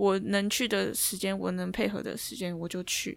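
A woman with a normal speaking voice talks at a moderate pace with fairly even intonation. The recording is very clean and the background silent. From Taiwan. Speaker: basketball player. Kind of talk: interview.

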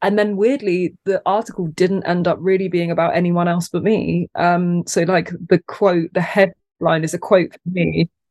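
The sound is dry and close, with no echo. A woman speaks at a fairly low pitch. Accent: British. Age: 30s. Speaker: content creator and small business owner. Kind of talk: casual interview chat. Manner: animated, humorous.

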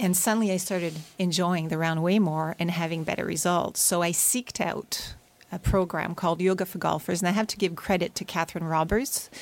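A woman's fairly low voice at a fairly quick pace, with fairly even intonation. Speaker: yoga instructor for golfers. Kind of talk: radio interview, explaining her method. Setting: radio studio.

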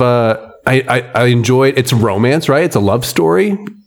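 Noticeable background noise accompanies the recording. Through it, a man speaks at a medium pitch. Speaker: podcast co-host. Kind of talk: casual chat. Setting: at a friend's home. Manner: animated.

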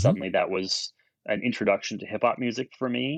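In a Canadian accent, a man talks at medium pitch with lively intonation, in a dry, close sound with no echo. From Ontario, Canada (Brantford). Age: 40s. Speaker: record label owner. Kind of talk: casual interview. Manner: halting.

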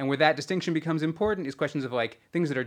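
The voice belongs to a man with an American accent. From Southern California. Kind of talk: interview conversation.

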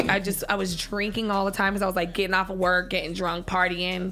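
With music in the background, a woman with an American accent speaks fairly quickly in a flat, monotone intonation. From San Diego, California. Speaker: adult entertainer. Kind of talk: casual chat. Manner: fast.

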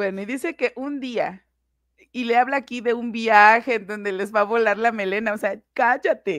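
Against a quiet background, a woman with an unremarkable speaking voice talks at a fairly slow pace with ordinary pitch variation. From Mexico, Puebla. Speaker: investigative commentator. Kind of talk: casual discussion.

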